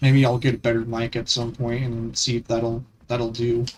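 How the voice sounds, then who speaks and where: Against music in the background, a man speaks at a fairly slow pace in a medium-pitched, monotone, flat voice. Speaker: gaming streamer. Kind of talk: casual live stream commentary. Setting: live stream. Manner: halting.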